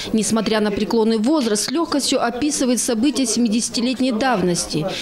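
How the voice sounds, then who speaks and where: Over noticeable background noise, a woman with a fairly high pitch speaks at a fairly quick pace, her loudness very even and her pitch variation ordinary. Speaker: TV news reporter. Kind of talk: TV news report narration.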